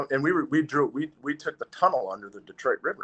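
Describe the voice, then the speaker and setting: A man with an Upper Midwest accent, fairly high-pitched, very fast, with lively intonation. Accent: Upper Midwest American. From Wausau, Wisconsin (US Upper Midwest). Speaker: former hockey player. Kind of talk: casual interview.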